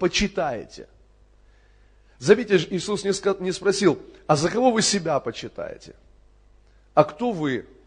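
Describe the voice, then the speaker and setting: A high-pitched male voice with lively intonation. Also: long, frequent pauses. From Crimea (Kerch). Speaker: pastor. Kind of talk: sermon. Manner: animated.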